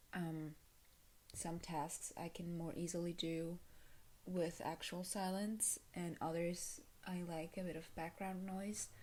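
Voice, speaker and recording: The voice is soft-spoken. The pace is very slow. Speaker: video creator, vlogger. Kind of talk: casual talk to camera. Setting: at home, early morning. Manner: halting, many fillers.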